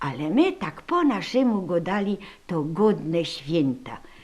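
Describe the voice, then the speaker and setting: A woman with a Silesian accent speaks at a very slow pace, with vocal fry. Her pitch swings very widely. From Upper Silesia, Poland. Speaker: caretaker of a regional heritage room. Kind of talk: storytelling about holiday traditions.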